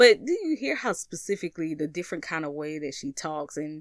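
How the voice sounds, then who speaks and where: Heard with a dry, close sound with no echo and a quiet background, a woman with an American accent speaks fairly quickly at a very deep, low pitch. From US South. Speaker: spiritual content creator. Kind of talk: casual vlog monologue. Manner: animated.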